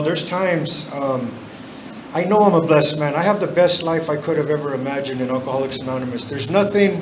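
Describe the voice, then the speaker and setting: A man's fairly high voice at a very fast pace, with ordinary pitch variation, audible room echo and noticeable background noise. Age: 60s. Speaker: AA speaker, recovering alcoholic. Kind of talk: recovery testimony. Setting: in-person meeting. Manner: halting, many fillers.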